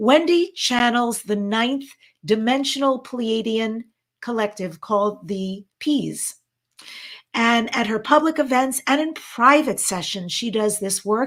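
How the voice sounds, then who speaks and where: A woman speaks at a fairly high pitch in an animated tone. Her pace is fairly slow. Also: ordinary pitch variation. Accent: American. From New York. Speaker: event co-host, talk show host, former actress. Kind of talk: live online event hosting, casual chat.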